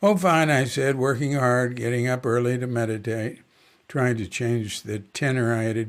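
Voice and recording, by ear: Natural-voiced reading aloud, intonation fairly even.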